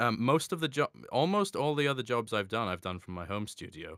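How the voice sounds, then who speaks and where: In a very clean recording with a silent background, a man talks with lively intonation in a bright, sharp tone, the sound dry and close with no echo. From Scotland, Edinburgh. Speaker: voice actor. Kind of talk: interview.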